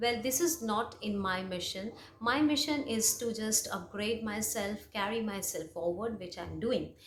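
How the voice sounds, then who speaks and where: A woman with a Bengali accent speaks at a moderate pace and medium pitch, with audible room echo around her. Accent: Indian English, Bengali. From India, West Bengal. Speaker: English teacher, YouTuber. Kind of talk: personal story monologue. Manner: hesitant, many fillers.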